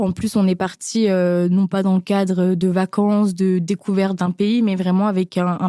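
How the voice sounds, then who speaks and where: A woman talks at a moderate pace in a dark, mellow tone, with a dry, close sound and no echo. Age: 20s. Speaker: business school student, humanitarian association volunteer. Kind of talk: personal testimony interview. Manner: hesitant, many filler sounds.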